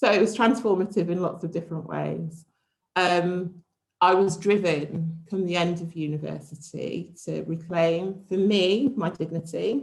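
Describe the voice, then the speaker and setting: Vocal fry runs through this voice at a fairly slow pace. Its pitch varies in an ordinary way. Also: woman, fairly low pitch for a woman. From English Midlands, Warwickshire (near Rugby). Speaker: speaker at university event. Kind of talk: personal talk.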